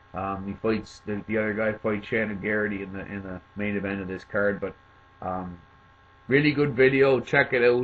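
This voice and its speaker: This man has a Cape Breton accent and a fairly low pitch. He moves at a moderate pace with ordinary pitch variation. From Cape Breton, Nova Scotia, Canada. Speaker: MMA commentator, video maker. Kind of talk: casual commentary, fighter rundown. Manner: hesitant, many fillers.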